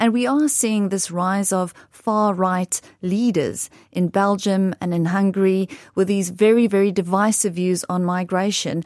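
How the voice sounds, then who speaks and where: With a South African accent, a woman speaks at a medium pitch and a fairly slow pace. Her intonation stays fairly even. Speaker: investment director. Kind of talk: interview answers. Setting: studio.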